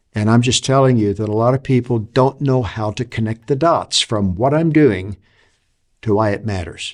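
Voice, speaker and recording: In a very clean recording with a silent background, a man speaks at medium pitch and a moderate pace with ordinary pitch variation. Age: 60s. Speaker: leadership author and consultant. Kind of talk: talk to camera on leadership. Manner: reflective, with frequent fillers and restarts.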